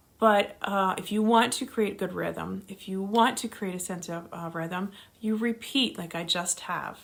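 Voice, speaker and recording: A woman's medium-pitched voice with vocal fry, lively intonation and a moderate pace. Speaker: teacher. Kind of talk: lecture. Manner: varied pitch.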